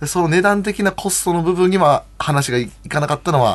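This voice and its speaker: This man has an unremarkable speaking voice, pitched fairly high. He talks at a moderate pace with lively intonation. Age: 40s. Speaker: professional wrestler. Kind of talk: casual chat.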